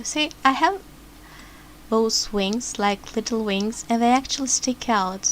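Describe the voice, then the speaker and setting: A woman with a non-native accent speaks at a fairly slow pace. Her fairly high pitch shows ordinary variation. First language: not English. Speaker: vtuber. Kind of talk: tutorial. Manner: halting.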